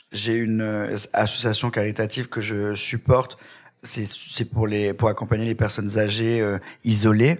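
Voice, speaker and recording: Fairly slow and monotone, a man speaks in a fairly low, flat voice. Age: 30s. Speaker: hairdresser and TV presenter. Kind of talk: interview.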